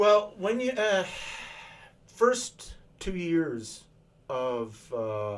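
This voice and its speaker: A man with a Canadian accent, high-pitched, very slow, with long, frequent pauses and very wide pitch swings. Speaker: retired military engineer. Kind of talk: interview answer.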